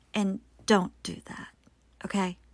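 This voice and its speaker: The recording is very clean, the background silent. A breathy voice speaks at a fairly slow pace. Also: woman. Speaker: true crime podcaster. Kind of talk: true-crime narration, scripted-style storytelling with personal asides. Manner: grave, measured, solemn storytelling; strained, gasping for breath at times.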